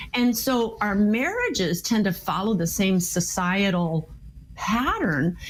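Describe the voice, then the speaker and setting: An American accent from a woman with a medium pitch, lively intonation and an unremarkable speaking voice. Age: 60s. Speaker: marriage and communication expert, author. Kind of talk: interview.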